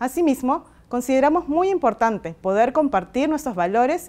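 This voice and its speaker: This woman's voice makes very wide swings in pitch. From Peru. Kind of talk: recorded video message. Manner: formal. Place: garden.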